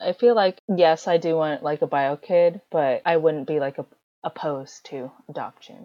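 With an American accent, a woman with an ordinary speaking voice talks at a moderate pace, her fairly low pitch showing ordinary variation. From USA, adopted from China. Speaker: podcast guest, international adoptee. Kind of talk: casual chat.

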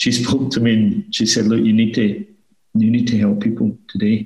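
This man speaks with a Glasgow accent at a moderate pace. His medium-pitched voice stays monotone, with flat intonation. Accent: Scottish (Glasgow). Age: 30s. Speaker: financial planning firm owner. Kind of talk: interview.

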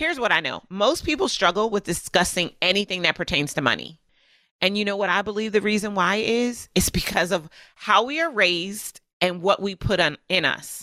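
Animated and lively in intonation, a woman talks at a moderate pace with a bright, sharp tone. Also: medium pitch for a woman, very clean recording, silent background. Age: 40s. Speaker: business coach and podcast host. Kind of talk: motivational monologue.

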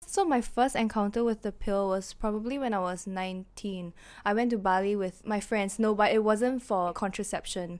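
An ordinary speaking voice from a woman, medium in pitch, with fairly even intonation at a moderate pace, on a very clean recording with a silent background. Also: hardly any pauses. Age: 20s. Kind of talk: casual chat.

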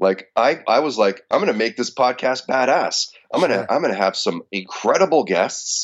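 A man speaks at a moderate pace in a confident tone. He hardly pauses at all. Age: 40s. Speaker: radio host. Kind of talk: casual interview. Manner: forward, confident.

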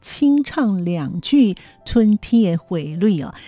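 A woman speaks in a dark, mellow tone that is somewhat breathy. The sound is dry and close, with no echo. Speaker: radio host. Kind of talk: radio show hosting.

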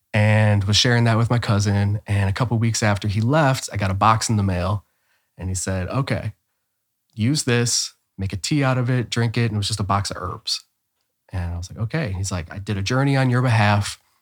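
A man with a Midwestern American accent and a fairly low pitch speaks at a fairly quick pace in a very clean recording with a silent background. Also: ordinary pitch variation. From Ohio, Cleveland. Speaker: spiritual teacher. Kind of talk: casual chat.

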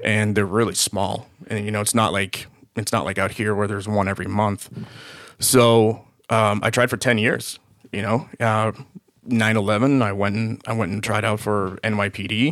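A man with an American accent talks at a moderate pace, his fairly low pitch held in a fairly even intonation. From Boston area. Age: 40s. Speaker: police officer. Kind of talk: casual interview.

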